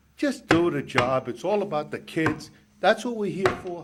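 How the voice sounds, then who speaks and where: There is noticeable background noise. A man talks at a high pitch and a fairly quick pace. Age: 60s. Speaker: resident speaking at public comment. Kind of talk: public comment. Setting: council meeting at a microphone.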